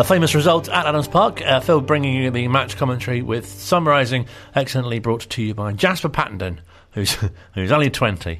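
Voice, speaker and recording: A man at medium pitch and a fairly quick pace, lively intonation, music in the background. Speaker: radio host. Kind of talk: radio presenting. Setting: studio.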